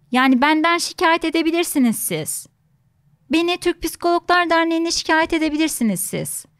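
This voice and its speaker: The pace is fairly slow, with ordinary pitch variation. The background is quiet. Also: woman. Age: 30s. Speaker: psychologist; guest psychologist or host. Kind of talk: interview conversation. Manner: many filler sounds, hesitant. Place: studio. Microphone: studio mic.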